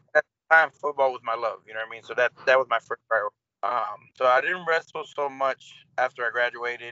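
An American accent marks this man's ordinary speaking voice, with a medium pitch, ordinary pitch variation, and a fairly quick pace. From US Midwest, Cleveland, Ohio. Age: 30s. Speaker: pro wrestler. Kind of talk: casual interview chat.

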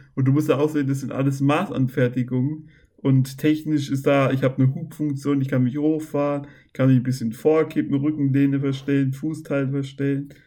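Man with a fairly high pitch, a dark, mellow tone, monotone, flat intonation and a fairly quick pace. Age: 20s. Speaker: podcast guest with muscular dystrophy. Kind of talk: casual chat.

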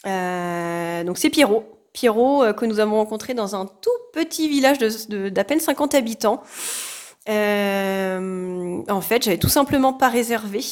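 Lively intonation carries this very slow-paced speech. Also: woman, fairly high pitch for a woman. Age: 30s. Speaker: social care worker and hiker. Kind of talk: casual interview.

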